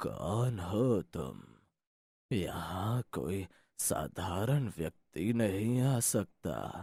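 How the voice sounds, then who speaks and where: A man performs a cartoonish character voice, fairly low and shaky. He goes at a very slow pace with lively intonation. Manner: grave, mystical.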